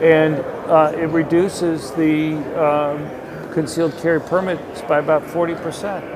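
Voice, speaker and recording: A fairly high-pitched man's monotone, flat delivery at a fairly slow pace, with audible room echo and noticeable background noise. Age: 60s. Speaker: economist and gun policy researcher. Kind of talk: casual interview. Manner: hesitant, many filler words.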